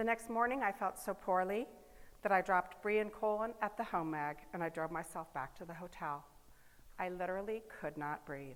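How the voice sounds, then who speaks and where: A woman speaks at a fairly quick pace in a plain, everyday voice, her pitch medium with ordinary variation. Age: 60s. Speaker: public speaker, business owner. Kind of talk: inspirational talk.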